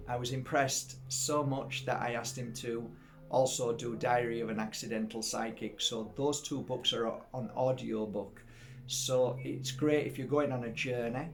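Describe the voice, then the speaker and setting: A man with a Yorkshire accent speaks at a medium pitch and a moderate pace, with monotone, flat intonation. Music plays in the background, and room echo is audible. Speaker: spiritual healer and psychic teacher. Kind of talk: casual storytelling to camera. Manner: halting, many fillers and repeats.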